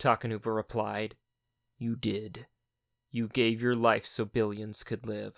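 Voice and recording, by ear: Someone is reading aloud in a natural voice. Behind it the background is quiet.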